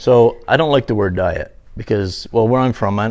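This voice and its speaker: A man with a slight Newfoundland accent, medium pitch and a moderate pace. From Newfoundland, Canada. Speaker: interviewee. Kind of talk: casual interview.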